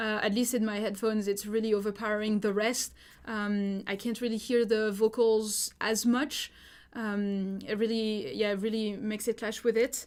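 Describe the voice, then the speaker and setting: Flat, monotone speech from a woman at a fairly high pitch and moderate pace, on a very clean recording with a silent background. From France. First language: French. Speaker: music producer giving feedback. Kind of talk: live stream feedback. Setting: live stream. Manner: casual, many fillers.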